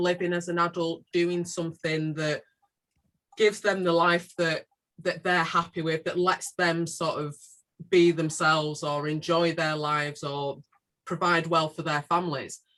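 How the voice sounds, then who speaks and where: This woman has a fairly low pitch and a bright, sharp tone. She talks at a fairly slow pace with a Manchester accent. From northern England, South Manchester. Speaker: community organisation leader. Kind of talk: panel discussion.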